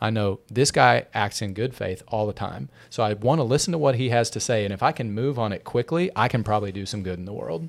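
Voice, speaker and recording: Recorded very cleanly with a silent background, a man with an American accent and a plain, everyday voice speaks fairly quickly at a medium pitch. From Texas. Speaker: podcast producer. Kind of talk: casual chat.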